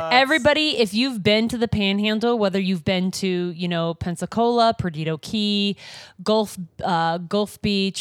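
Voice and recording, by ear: A text is read aloud in a natural voice, the pitch varying in an ordinary way.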